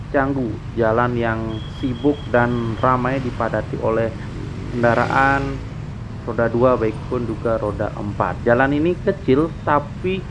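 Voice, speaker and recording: Noticeable noise sits in the background. The delivery is fairly slow, and the pitch varies in an ordinary way. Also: man. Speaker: motovlogger. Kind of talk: casual vlog commentary. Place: motorbike. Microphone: helmet.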